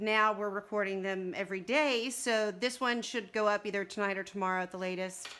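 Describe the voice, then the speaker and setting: A woman with a Texas accent, medium pitch, ordinary pitch variation and a bright, sharp tone. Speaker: livestream co-host. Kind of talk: casual chat. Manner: talkative.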